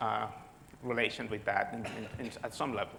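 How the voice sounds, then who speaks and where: Amid audible room echo, a man with a Spanish accent speaks at a moderate pace. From Spain. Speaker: physicist. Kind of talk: lecture. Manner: halting, many repetitions.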